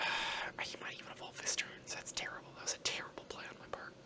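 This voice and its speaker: Noticeable background noise sits behind a very fast whisper. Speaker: gaming YouTuber. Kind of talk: ASMR gameplay commentary. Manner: whispered; soft-spoken.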